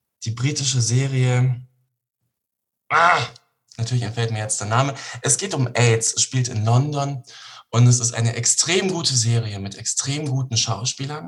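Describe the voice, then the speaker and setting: A man speaks at medium pitch and a moderate pace, somewhat breathy, with ordinary pitch variation and long, frequent pauses. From Bavaria, Germany (Regensburg). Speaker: actor. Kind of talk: interview.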